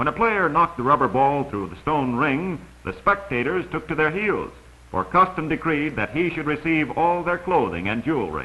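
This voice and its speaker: This man has a plain, everyday voice, pitched fairly high, with lively intonation and a moderate pace. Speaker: documentary narrator. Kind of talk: vintage educational travelogue narration. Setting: old film soundtrack.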